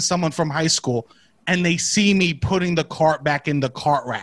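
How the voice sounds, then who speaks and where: A man with a strong New York accent talks in an animated tone at a high pitch, the sound dry and close with no echo. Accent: strong Staten Island New York. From Staten Island, New York. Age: 30s. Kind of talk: casual chat. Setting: video call. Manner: animated, joking.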